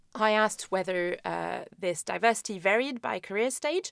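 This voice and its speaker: A woman's voice at a moderate pace, dry with no echo, over a quiet background. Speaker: epidemiology lecturer. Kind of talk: recorded conference talk.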